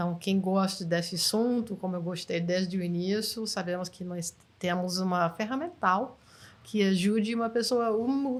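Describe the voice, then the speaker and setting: A woman speaks at a medium pitch. Her pitch moves in an ordinary way. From United States. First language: English (speaking Portuguese). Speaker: NLP trainer. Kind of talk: interview.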